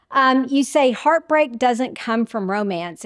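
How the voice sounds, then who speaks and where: A woman's normal speaking voice at a fairly slow pace, with ordinary pitch variation and a dry, close, echo-free sound on a very clean recording with a silent background. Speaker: podcast host. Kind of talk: interview conversation.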